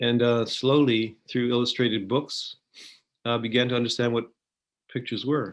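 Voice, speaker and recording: A man with a Canadian accent at a moderate pace, flat and monotone, with long, frequent pauses and a quiet background. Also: medium pitch for a man. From Canada, Vancouver. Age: 70s. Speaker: photographer. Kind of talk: interview. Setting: video call. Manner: halting.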